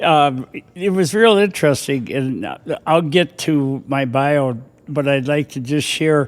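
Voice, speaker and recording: A man with an Upper Midwest accent speaks fairly slowly in a fairly high pitch with ordinary pitch variation, on a very clean recording with a silent background. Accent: Upper Midwest American. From southern Minnesota (Austin). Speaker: retired firefighter and former mayor. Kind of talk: casual interview. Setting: studio. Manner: halting.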